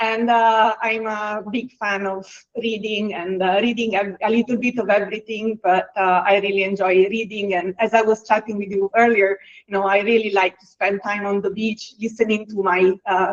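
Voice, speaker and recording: The speaker talks at a moderate pace with an Italian accent, the intonation monotone and flat but the loudness swinging widely. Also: woman, medium pitch for a woman. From Italy. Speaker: HR executive. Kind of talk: webinar interview. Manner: hesitant, many fillers.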